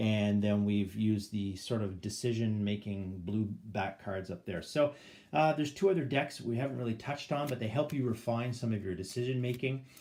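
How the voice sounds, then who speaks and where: Fairly low in pitch, a man with a Canadian accent speaks in a dark, mellow tone. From Canada. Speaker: board game YouTuber. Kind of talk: gameplay tutorial. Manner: hesitant, many fillers. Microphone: phone near.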